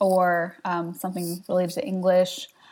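A woman talks at a moderate pace in an unremarkable speaking voice. Her pitch is medium. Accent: American. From South Jersey, US. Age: 20s. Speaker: web designer. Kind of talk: casual interview.

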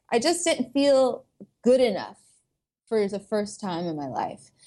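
A woman speaks with an American accent. The recording is very clean, with a silent background. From US South, suburban Atlanta, Georgia. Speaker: vegan food blogger and YouTuber. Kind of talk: casual interview chat.

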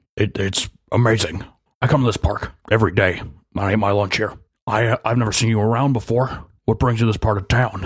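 In a put-on, raspy character voice, a man talks at a fairly quick pace with a medium pitch and fairly even intonation. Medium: actual play. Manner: wordy, eager, slightly awkward.

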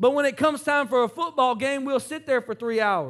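Over a silent background in a very clean recording, a man talks at a very fast pace with a bright, sharp tone, lively intonation and an animated tone. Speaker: pastor. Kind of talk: sermon. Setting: church. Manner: animated, rousing preacher in full flow, interactive with crowd; asks call-and-response questions, urging the congregation to raise Bibles and say amen.

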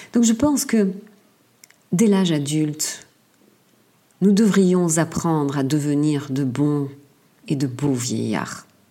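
Amid audible room echo, a woman with a very deep, low pitch speaks at a very slow pace with lively intonation and long, frequent pauses. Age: 60s. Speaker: podcaster. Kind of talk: solo monologue. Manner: halting, frequent repetitions.

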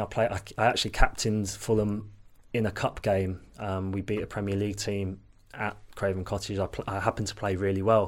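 Against a silent background in a very clean recording, a man with a fairly low pitch speaks at a fairly quick pace in a monotone, flat delivery. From Leicester, East Midlands England. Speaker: former professional footballer. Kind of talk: casual interview chat.

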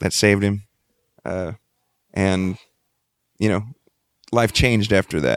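Talking at a moderate pace with long, frequent pauses, a man with a Texan accent uses a fairly low pitch, heard as a dry, close sound with no echo. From Texas Gulf Coast, Freeport. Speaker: band lead singer. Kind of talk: casual interview.

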